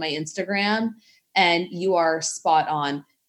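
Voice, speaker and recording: The clip has a normal speaking voice with fairly even intonation. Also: woman. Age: 30s. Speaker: fitness coach. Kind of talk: casual chat.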